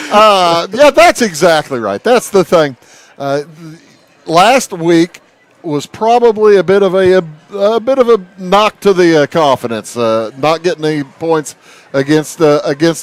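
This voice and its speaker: A man speaks loudly and fairly slowly in a high pitch with very wide swings, his sound dry and close with no echo over noticeable background noise. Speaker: sports play-by-play announcer. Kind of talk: live sports commentary.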